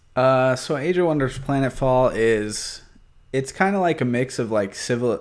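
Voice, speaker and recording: A man with a plain, everyday voice talks at a moderate pace, medium in pitch, with ordinary pitch variation. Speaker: community member guest. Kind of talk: casual chat about games.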